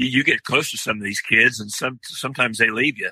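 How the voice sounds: Recorded with a dry, close sound and no echo, a man speaks at a fairly quick pace in a bright, sharp tone with a slightly husky edge and ordinary pitch variation. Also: medium pitch for a man.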